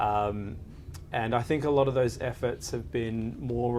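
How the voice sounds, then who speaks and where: A man's pitch varies in an ordinary way, with audible echo from the room. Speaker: lawyer. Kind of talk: panel interview. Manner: halting, many fillers.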